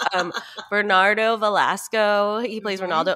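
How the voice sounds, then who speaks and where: Against a quiet background, a woman with an American accent and a bright, sharp tone speaks at a moderate pace. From Northern California. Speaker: podcast co-host. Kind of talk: casual chat. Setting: remote call. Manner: laughs often. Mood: cheerful, amused. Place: home room.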